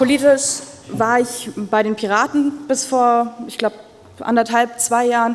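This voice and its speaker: Fairly slow, ordinary pitch variation, from a woman. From Ulm, Swabia, southern Germany; Swabia. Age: 20s. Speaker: mayoral candidate; candidate. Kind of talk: campaign speech. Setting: public event with audience. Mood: earnest, lightly humorous. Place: hall. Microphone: podium.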